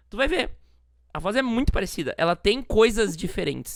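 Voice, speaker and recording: A woman talks at a very fast pace, her pitch medium. The recording is very clean, with a silent background. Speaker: podcast host. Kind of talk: casual chat. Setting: live stream. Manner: elongated vowels, soft delivery.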